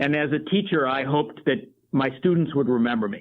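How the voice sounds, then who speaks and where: A man with an ordinary speaking voice talks at a moderate pace, fairly high in pitch and with lively intonation. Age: 60s. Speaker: coffee company project manager, former teacher. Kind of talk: interview conversation.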